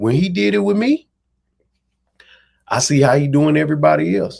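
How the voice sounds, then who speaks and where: With a Dallas accent, a man speaks at a fairly quick pace in an animated tone, with very wide pitch swings. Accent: Southern Dallas. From Texas, Dallas. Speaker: amateur boxer and internet personality. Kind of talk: interview storytelling.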